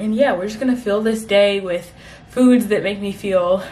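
Loud background noise behind a woman at a moderate pace. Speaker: lifestyle vlogger. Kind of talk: casual vlog chat.

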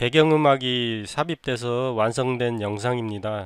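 A man speaks at a medium pitch with ordinary variation. His pace is very slow. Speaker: video editing tutor. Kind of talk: tutorial. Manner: unscripted, conversational.

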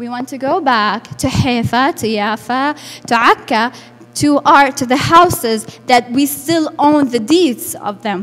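Speaking with an Arabic accent, a woman talks at a fairly slow pace in a high pitch with ordinary pitch variation. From Lebanon, Burj al Barajneh refugee camp; Lebanon. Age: 20s. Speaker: refugee activist and interpreter; speaker. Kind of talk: public talk. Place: hall. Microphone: handheld.

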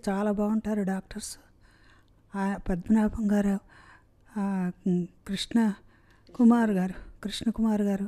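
The intonation stays flat and monotone. The background is quiet. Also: woman. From Hyderabad. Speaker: heart surgery patient. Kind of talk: patient testimonial. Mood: grateful, warm. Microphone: handheld.

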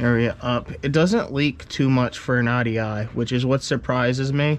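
Ordinary pitch variation from a man talking. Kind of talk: casual vlog chat. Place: garage. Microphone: phone near.

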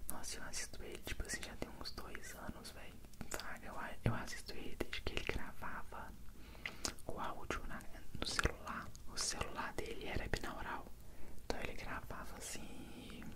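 Whispering at a moderate pace with long, frequent pauses, a man speaks over noticeable background noise. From Brazil. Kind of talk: ASMR Q&A answering viewer questions. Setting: binaural microphone recording. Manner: whispered.

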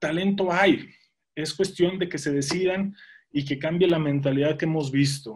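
Over a quiet background, a man with an ordinary speaking voice talks fairly slowly at a fairly high pitch with fairly even intonation. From Mexico, Monterrey; Nuevo León, Mexico. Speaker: former pro football player and sports commentator; guest. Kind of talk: interview. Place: home room. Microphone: video call.

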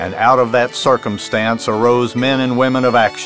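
Music plays in the background. A man speaks at a moderate pace and medium pitch. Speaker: author and history narrator. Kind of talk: documentary history narration.

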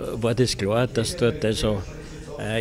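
Music plays in the background as a man talks at a very slow pace. His pitch varies in an ordinary way. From Austria. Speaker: veteran sports reporter and commentator. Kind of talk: interview answer. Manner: hesitant, thoughtful, many fillers. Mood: reflective storytelling. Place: cafe. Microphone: handheld.

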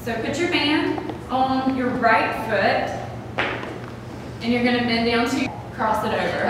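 A woman's high-pitched voice at a very slow pace with ordinary pitch variation, amid strong room echo and noticeable background noise. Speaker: fitness instructor. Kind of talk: workout tutorial instruction. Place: gym.

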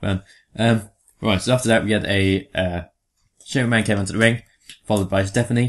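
A man with an English accent, fairly low in pitch, monotone and flat, at a moderate pace over a quiet background. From England. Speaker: podcast co-host. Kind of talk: casual chat.

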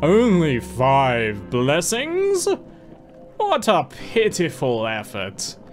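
A man's booming, put-on character voice at a fairly high pitch and a very slow pace, with clear music in the background. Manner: haughty, scornful.

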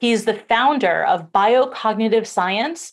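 The speaker talks at a moderate pace with ordinary pitch variation over a quiet background. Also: woman. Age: 40s. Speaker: summit interviewer. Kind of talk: interview. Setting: video call. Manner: animated. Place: home room.

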